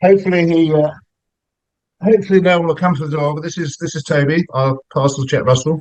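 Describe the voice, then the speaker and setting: A man with an English accent speaks at a fairly quick pace in a high pitch, with ordinary pitch variation. Long pauses come often. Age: 60s. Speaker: meditation practitioner, businessman. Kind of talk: interview. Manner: hesitant, many fillers and repetitions.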